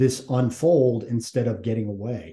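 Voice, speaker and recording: The speaker has an American accent and a dark, mellow tone. The delivery is somewhat breathy at a moderate pace. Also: man. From Massachusetts. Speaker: retired Navy SEAL and nonprofit CEO. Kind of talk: interview conversation.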